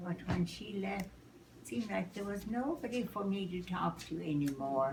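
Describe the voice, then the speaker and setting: Noticeable background noise sits behind a woman talking at a moderate pace. Her pitch is medium and her intonation lively. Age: 80s+. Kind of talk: interview answer.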